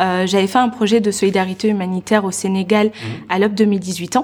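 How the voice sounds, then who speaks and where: A woman talks at a very fast pace with fairly even intonation, her loudness swinging widely over noticeable background noise. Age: 20s. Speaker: entrepreneur and personal development coach. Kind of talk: interview.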